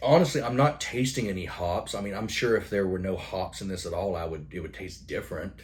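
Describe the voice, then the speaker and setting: A man's fairly quick, mumbled, somewhat breathy speech with hardly any pauses, lively intonation and audible room echo. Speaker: beer reviewer. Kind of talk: product review monologue. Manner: mumbling.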